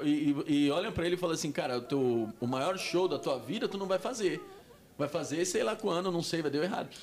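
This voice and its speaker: A man's high-pitched voice, fairly quick and with lively intonation, over noticeable background noise. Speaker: stand-up comedian. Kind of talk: casual chat.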